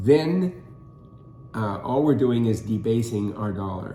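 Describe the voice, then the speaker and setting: In an American accent, a man speaks at a medium pitch and fairly slow pace, with audible room echo. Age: 70s. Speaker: co-host. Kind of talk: casual discussion. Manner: halting, many fillers.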